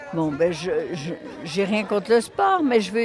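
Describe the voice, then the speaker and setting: A woman's medium-pitched voice carries audible room echo, with crowd noise in the background. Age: 80s+. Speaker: former neighbourhood resident, volunteer. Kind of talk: interview. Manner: halting.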